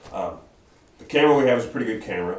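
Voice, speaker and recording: A man's voice with ordinary pitch variation in audible room echo. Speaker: Bible study teacher. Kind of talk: Bible study lesson. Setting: church classroom, camera livestream. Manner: hesitant, many fillers.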